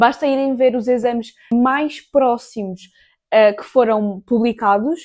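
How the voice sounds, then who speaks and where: A woman speaks with a European Portuguese accent. Her intonation is fairly even. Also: dry, close sound with no echo. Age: 20s. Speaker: student vlogger and tutor. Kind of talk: study tips vlog. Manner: casual, chatty.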